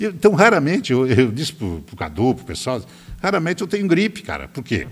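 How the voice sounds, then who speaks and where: Very wide pitch swings and big swings in loudness, a fairly quick pace and vocal fry. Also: man, fairly high pitch for a man. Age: 70s. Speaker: politician. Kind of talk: interview. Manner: animated.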